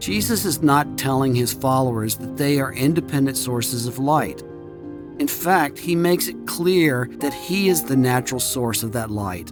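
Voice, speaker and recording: A man talks fairly slowly. Music is playing behind him. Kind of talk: devotional audiobook reading.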